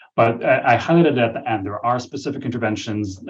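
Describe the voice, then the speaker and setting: Against a quiet background, a somewhat breathy man speaks at a very fast pace. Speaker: physician researcher. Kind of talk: webinar presentation and Q&A. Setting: virtual webinar.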